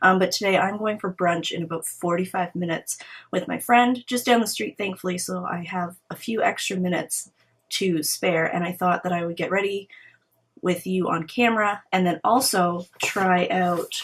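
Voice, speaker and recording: At a moderate pace, a woman speaks with a medium pitch. Her voice is somewhat breathy, with fairly even intonation. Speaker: beauty vlogger. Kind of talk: casual get-ready-with-me chat.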